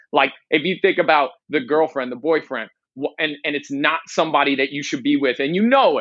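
A man with an ordinary speaking voice and a fairly high pitch talks at a moderate pace with lively intonation against a quiet background. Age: 20s. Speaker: life coach. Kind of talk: podcast interview.

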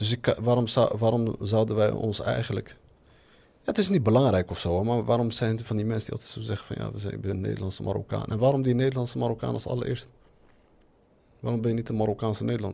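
Talking at a very fast pace, a man with a dark, mellow tone keeps a medium pitch and fairly even intonation. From Netherlands, Moroccan family. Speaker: podcast host. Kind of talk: casual chat. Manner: halting.

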